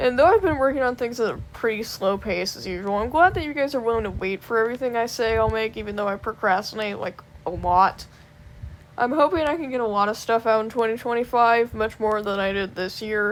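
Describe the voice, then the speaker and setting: Very fast speech comes from a woman. Her pitch variation is ordinary. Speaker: small content creator and artist. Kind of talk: casual year-end vlog, partly read from script. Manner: halting, stumbling over words.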